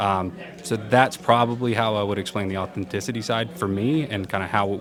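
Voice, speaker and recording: A man with a fairly low pitch speaks at a fairly quick pace amid noticeable background noise and audible room echo. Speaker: event organizer. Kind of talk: interview. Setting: conference. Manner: animated; halting.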